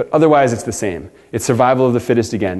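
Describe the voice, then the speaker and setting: The delivery comes at a very fast pace. Its pitch variation is ordinary. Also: man. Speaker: designer and storyteller giving a talk. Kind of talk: workshop presentation. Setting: workshop with audience.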